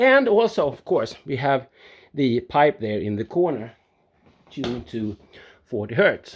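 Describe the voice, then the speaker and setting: A man with a non-native accent talks at a fairly slow pace, his pitch swinging very widely. The background is quiet. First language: not English. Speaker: home studio builder, video blogger. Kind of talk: casual video vlog tour. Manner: halting, with frequent fillers and restarts.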